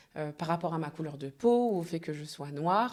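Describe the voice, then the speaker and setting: The speaker is a woman. Her pitch is fairly low. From France, Normandy (Le Havre). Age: 30s. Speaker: event agency founder. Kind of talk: podcast interview. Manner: hesitant, many fillers.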